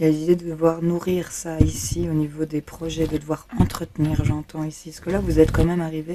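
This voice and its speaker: A woman's very deep, low voice in a flat monotone, over noticeable background noise. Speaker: tarot reader. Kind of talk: tarot reading. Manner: casual, hesitant with fillers.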